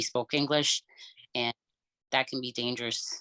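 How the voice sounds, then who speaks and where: The speaker is a man with a bright, sharp tone. His intonation stays monotone and flat. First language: Cape Verdean Creole. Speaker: podcast co-host, medical field worker. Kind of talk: casual chat. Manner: halting, many fillers.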